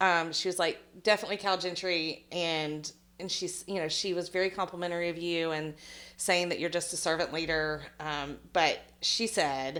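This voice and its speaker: With fairly even intonation, a woman talks at a moderate pace in a fairly low pitch. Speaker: podcast host. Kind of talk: casual interview. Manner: loud.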